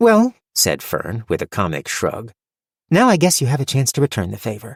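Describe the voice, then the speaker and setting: Using a put-on character voice, a man speaks at a moderate pace and medium pitch, the sound dry and close with no echo. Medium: read story. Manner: tart, wry.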